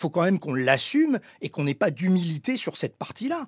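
With very wide pitch swings, a high-pitched man talks at a fairly quick pace on a very clean recording with a silent background and a dry, close sound with no echo. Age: 60s. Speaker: former airline executive. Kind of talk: interview. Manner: animated.

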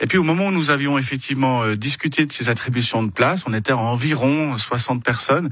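Fairly quick, hardly any pauses, ordinary pitch variation, with noticeable background noise. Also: man, medium pitch for a man. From Switzerland, Geneva. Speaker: cantonal government minister. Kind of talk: political interview. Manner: halting, many repeated words.

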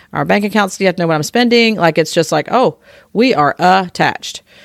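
A woman's very fast speech with ordinary pitch variation and a dry, close sound with no echo. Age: 50s. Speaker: podcast host sharing personal divorce story. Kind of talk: casual chat. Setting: home recording with small live audience.

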